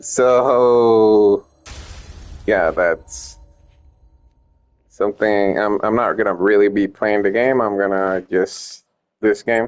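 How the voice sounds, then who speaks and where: Pausing long and often, a man talks at a very slow pace in a fairly low pitch, with ordinary pitch variation and very even loudness. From Puerto Rico. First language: Spanish. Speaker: gaming streamer and ROM hacker. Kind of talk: casual gameplay stream chat. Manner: halting, many fillers and restarts.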